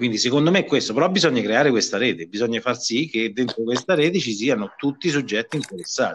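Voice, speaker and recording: The speech moves at a very fast pace with hardly any pauses. Its loudness stays very even. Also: man, medium pitch for a man, lively intonation. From Villanova, province of Viterbo, Italy. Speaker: trade union official. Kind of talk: interview.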